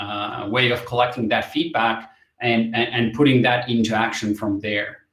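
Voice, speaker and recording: Audible room echo surrounds a man speaking at medium pitch with a Finnish accent. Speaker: company representative presenting product. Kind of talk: webinar presentation. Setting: online webinar. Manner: halting, many fillers and repetitions.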